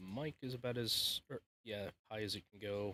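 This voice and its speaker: A man speaks quietly, his tone bright and sharp. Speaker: gaming streamer. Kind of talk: casual live stream chat.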